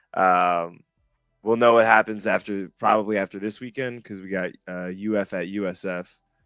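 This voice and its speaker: A man with an American accent talks at a moderate pace and fairly low pitch with fairly even intonation, a dry, close sound with no echo, and music in the background. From Miami, Florida. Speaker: rugby coach and guest host. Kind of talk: casual chat.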